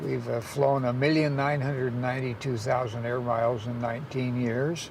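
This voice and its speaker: Noticeable background noise and audible room echo accompany a man at a medium pitch. He speaks at a moderate pace with fairly even intonation. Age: 80s+. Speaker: father and carer of a savant. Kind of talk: documentary interview. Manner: halting with fillers.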